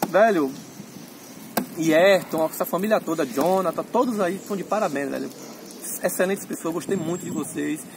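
The speech comes at a moderate pace with long, frequent pauses. The sound is dry with no echo, and there is noticeable background noise. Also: man, high pitch for a man, ordinary pitch variation. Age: 30s. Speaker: motorcycle owner reviewing his bike. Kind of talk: casual review chat. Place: street. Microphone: phone near.

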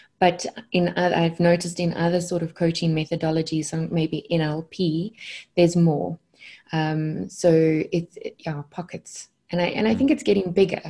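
Over a quiet background, a woman speaks at a moderate pace with a fairly low pitch, a dark, mellow tone, a somewhat breathy quality and fairly even intonation. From South Africa. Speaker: consciousness coach. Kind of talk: podcast interview answer. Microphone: earbuds.

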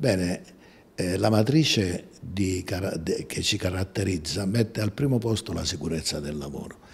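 A man with a very deep, low voice speaks at a fairly slow pace, somewhat breathy, with lively intonation. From southern Italy, Amalfi coast; southern Italy. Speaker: company president, engineer. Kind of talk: interview; interview answer. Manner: halting, many hesitations. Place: office. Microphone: handheld.

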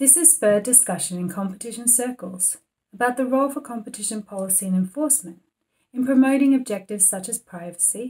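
Somewhat breathy and dark, mellow in tone, the voice moves at a fairly quick pace with lively intonation. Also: woman. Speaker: competition policy expert. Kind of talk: institutional policy briefing to camera. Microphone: webcam.

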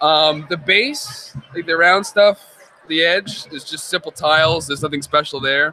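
A man with an American accent speaks at a fairly slow pace. His voice is fairly high, with a bright, sharp tone. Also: ordinary pitch variation. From Nazareth, Pennsylvania. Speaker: hobbyist builder. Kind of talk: casual interview at convention. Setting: live stream at fan convention. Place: hall. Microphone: studio mic.

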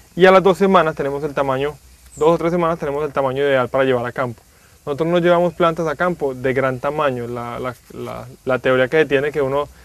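Speech comes at a very fast pace with fairly even intonation. The sound is dry with no echo. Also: man. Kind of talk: tutorial explanation for agricultural TV. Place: garden.

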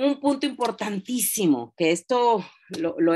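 The speaker uses lively intonation against a quiet background. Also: woman. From Mexico, Oaxaca. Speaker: direct sales consultant. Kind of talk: training class. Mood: warm, encouraging. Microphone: video call.

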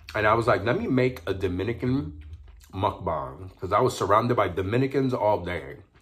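Using lively intonation, a man talks in an animated tone at a fairly low pitch. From New York City (Harlem), Puerto Rican family; New York City. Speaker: food vlogger. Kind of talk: mukbang video, casual talk while eating. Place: home room. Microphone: phone near.

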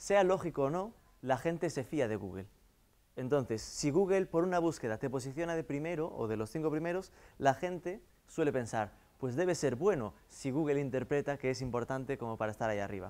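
A man's fairly high, lively voice at a fairly quick pace, with a Galician accent. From Galicia, Vigo area. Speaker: marketing consultant; guest lecturer. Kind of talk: lecture. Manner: halting. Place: classroom.

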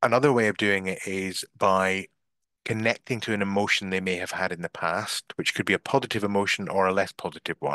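A man's fairly low voice, bright and sharp in tone, at a fairly quick pace with fairly even intonation, dry with no echo, against a quiet background. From Scotland. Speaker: business coach; marketing coach. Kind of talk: online masterclass / webinar. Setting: video call (Zoom live stream) from a bedroom. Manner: hesitant filler words (um, uh). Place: home room. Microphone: headset.

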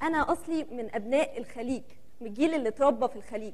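A woman at a fairly quick pace. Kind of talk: theatrical personal monologue. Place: stage. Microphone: lapel.

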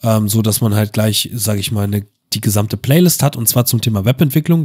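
A man speaks very fast in a medium pitch. The recording is very clean and the background silent. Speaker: gaming YouTuber. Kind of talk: gameplay commentary. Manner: monotone; halting, many fillers.

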